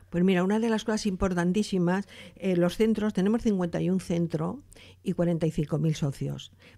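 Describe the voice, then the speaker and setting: In a very clean recording with a silent background, a woman speaks at a medium pitch and fairly slow pace, her tone dark and mellow, her loudness very even and her pitch variation ordinary. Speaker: retired doctor, advocate for older people. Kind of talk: interview.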